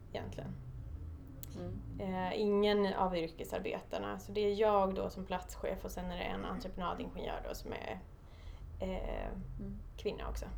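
Audible room echo along with noticeable background noise. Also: woman, moderate pace. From Stockholm, Sweden. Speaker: construction site manager. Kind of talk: interview.

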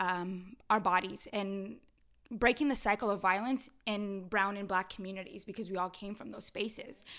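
Heard on a very clean recording with a silent background, a plain, everyday voice with an American accent moves at a moderate pace with fairly even intonation. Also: woman. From Los Angeles, San Fernando Valley (Pacoima). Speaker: community activist and mentor. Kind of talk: casual interview chat.

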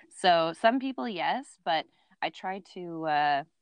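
Someone with a Canadian accent speaks against a quiet background. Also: woman. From Ontario, Canada. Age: 30s. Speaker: outdoor podcast host. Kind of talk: casual chat.

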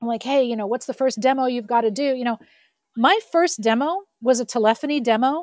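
A woman's high voice at a fairly quick pace, dry and close with no echo. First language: French. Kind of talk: interview.

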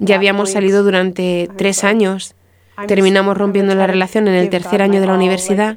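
With noticeable background noise behind her, a woman of medium pitch speaks in a monotone, flat intonation at very even loudness. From US Midwest, Marshfield, Wisconsin. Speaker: guest sharing faith story. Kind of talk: testimony.

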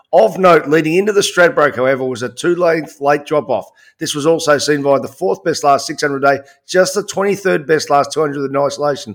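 A speaker with an Australian accent talks at a moderate pace, with ordinary pitch variation. The recording is very clean, with a silent background. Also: man, fairly high pitch for a man. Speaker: horse racing podcast host. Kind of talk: casual sports analysis chat.

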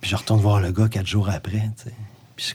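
The voice is somewhat breathy and comes in a Quebec accent. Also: man. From Gaspésie, Quebec. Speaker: musician and author. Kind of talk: casual chat.

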